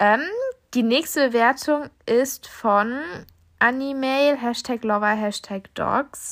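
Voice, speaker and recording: This woman's voice sits at a fairly high pitch. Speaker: podcast host. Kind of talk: casual solo podcast chat. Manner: chatty, informal, with fillers.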